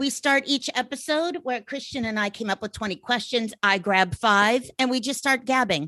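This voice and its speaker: A woman speaks in a high, bright, sharp voice with lively intonation, at a moderate pace with hardly any pauses. The sound is dry and close with no echo, over a quiet background. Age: 50s. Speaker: podcast host. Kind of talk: casual interview chat.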